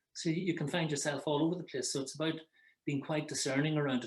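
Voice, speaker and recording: A man speaks with an Irish accent. His pace is fairly quick. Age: 60s. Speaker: psychotherapist. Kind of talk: advice conversation. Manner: halting.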